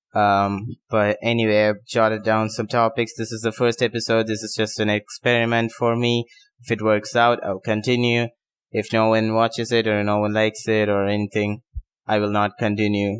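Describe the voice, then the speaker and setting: A man with a non-native accent, fairly low pitch, monotone, flat intonation and a moderate pace, in a dry, close sound with no echo. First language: not English. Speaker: tennis podcaster. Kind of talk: casual unscripted monologue. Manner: halting, many fillers and pauses.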